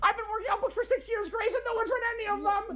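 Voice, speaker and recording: Over clear background noise, a squeaky, put-on character voice at an extremely high pitch races along at a very fast pace. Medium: comedy sketch. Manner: intense, melodramatic.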